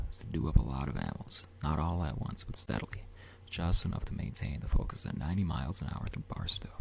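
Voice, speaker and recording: Noticeable background noise sits under a man whispering at a fairly quick clip. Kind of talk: ASMR audiobook reading.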